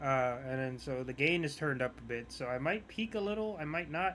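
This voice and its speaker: Soft-spoken, a man talks at a moderate pace and a fairly high pitch, with a bright, sharp tone and lively intonation. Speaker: gamer streamer. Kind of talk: gameplay commentary. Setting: live stream.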